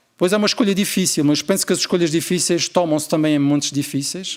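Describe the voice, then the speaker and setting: A man speaks with an Azorean accent. His pitch varies in an ordinary way. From Azores, Portugal. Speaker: family doctor and researcher. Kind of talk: conference keynote.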